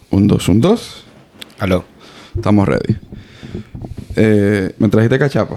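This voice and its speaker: A man speaks at a fairly slow pace in a fairly low pitch, with ordinary pitch variation, very even loudness, long, frequent pauses, and noticeable background noise. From Dominican Republic. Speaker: podcast host. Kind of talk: casual interview.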